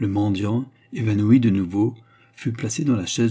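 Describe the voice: This recording consists of plain reading aloud.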